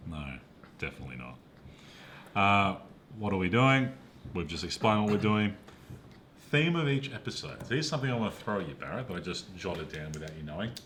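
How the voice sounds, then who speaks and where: A man with an Australian accent talks very fast in a fairly low voice, his pitch swinging very widely. Long, frequent pauses break up his speech, and room echo is audible. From Perth, Western Australia. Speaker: podcast co-host, film reviewer. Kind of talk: casual chat.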